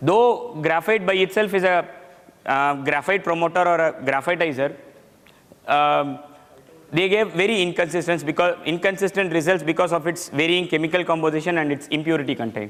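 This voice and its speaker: Loud and fairly quick, a man talks at a high pitch with ordinary pitch variation. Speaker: metallurgy engineer presenting technical paper. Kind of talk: technical presentation.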